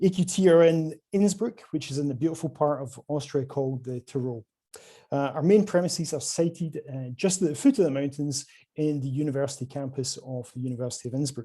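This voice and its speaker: A man with a Scottish accent speaks at a fairly quick pace, his fairly high voice somewhat breathy with a dark, mellow tone and ordinary pitch variation. The background is quiet. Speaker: quantum hardware sales representative. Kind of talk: conference presentation.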